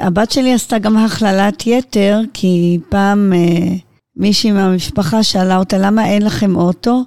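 A woman's dark, mellow voice at a medium pitch, delivered at a fairly slow pace. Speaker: interviewee, blind mother. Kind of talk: interview.

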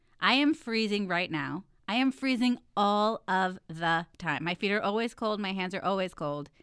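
A woman's ordinary speaking voice at medium pitch, moderate pace and lively intonation, with hardly any pauses, on a very clean recording with a silent background. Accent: American. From Texas. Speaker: podcast co-host, wife and mother. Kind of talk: casual chat.

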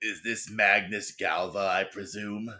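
In a very clean recording with a silent background, a man does a raspy put-on character voice, fairly low-pitched, fairly slow and monotone with flat intonation.

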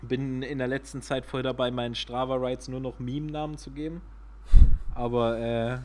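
A man at medium pitch and moderate pace, with fairly even intonation. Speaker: podcast co-host, amateur cyclist. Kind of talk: casual chat.

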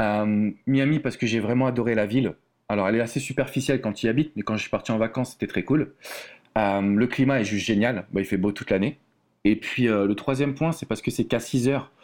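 A man's medium-pitched voice at a fairly quick pace, ordinary pitch variation, on a very clean recording with a silent background. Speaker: love coach. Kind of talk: casual interview.

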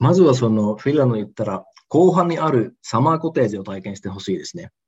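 Very fast and somewhat breathy, a man speaks at medium pitch with very wide pitch swings and big swings in loudness. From Osaka, Japan. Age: 30s. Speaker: entrepreneur. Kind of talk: interview.

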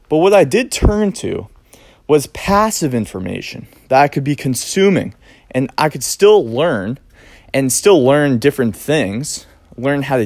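Speaking fairly slowly with an American accent, a man lets his pitch swing very widely. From US Northeast (Cape Cod, Massachusetts). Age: 20s. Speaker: realtor and podcast host. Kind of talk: solo podcast monologue. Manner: halting, with fillers and repetitions.

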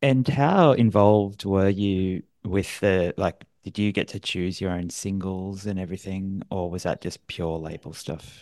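A man with an Australian accent speaks in a very deep, low voice at a fairly slow pace, with hardly any pauses. His pitch varies in an ordinary way, and the background is quiet. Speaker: podcast host. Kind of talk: interview; scripted outro.

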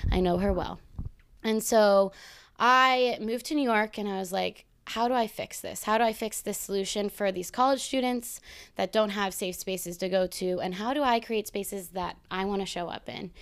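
In a very clean recording with a silent background, a woman speaks at medium pitch and a moderate pace with ordinary pitch variation. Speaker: journaling workshop host. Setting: stage with live audience. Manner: casual, profane, upbeat.

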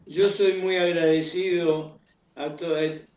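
A man talks with fairly even intonation. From Buenos Aires, Argentina. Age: 80s+. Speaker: tango singer. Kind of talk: interview. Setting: remote call.

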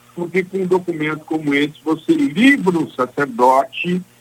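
Speaking at a moderate pace, a man uses a high pitch that moves in very wide swings. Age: 60s. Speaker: lawyer. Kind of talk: radio interview. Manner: formal.

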